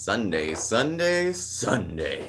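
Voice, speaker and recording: A man's booming, put-on character voice at a medium pitch, with very wide pitch swings over clear background noise. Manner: booming, hyped-up.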